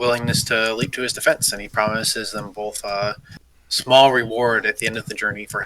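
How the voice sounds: With fairly even intonation, the delivery is a natural reading voice.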